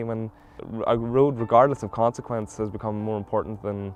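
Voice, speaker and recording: A man with a Mid Ulster accent, medium in pitch, at a very fast pace. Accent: Northern Irish (mid-Ulster). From Northern Ireland, South Derry. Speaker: environmental campaigner. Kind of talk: interview testimony.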